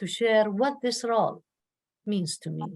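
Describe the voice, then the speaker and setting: The speaker uses an Arabic accent at a moderate pace. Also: woman. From Jordan. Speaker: professor, award committee member. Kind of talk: ceremony speech.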